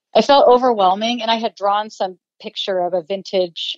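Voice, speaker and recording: In an American accent, a woman speaks with a dark, mellow tone and fairly even intonation. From Ohio, US Midwest. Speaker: illustrator and writer. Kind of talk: personal testimony in interview.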